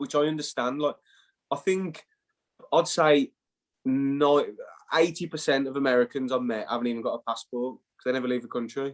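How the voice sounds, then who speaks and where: With an English accent and a fairly high pitch, a man speaks at a moderate pace with long, frequent pauses in a dry, close sound with no echo. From England. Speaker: former college soccer player. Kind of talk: casual interview chat. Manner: animated.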